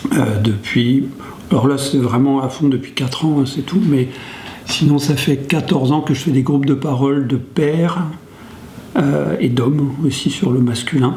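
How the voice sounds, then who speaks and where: Over noticeable background noise and audible room echo, a man talks at a fairly slow pace with fairly even intonation and very even loudness. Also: fairly high pitch for a man. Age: 60s. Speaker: sociologist working on domestic violence, men's group facilitator. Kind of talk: interview testimony. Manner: hesitant, many fillers.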